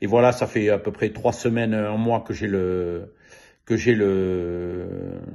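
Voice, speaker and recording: Pitch varies in an ordinary way. The pace is very slow. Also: man. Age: 70s. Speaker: customer giving testimonial. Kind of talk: testimony. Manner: halting, many hesitations.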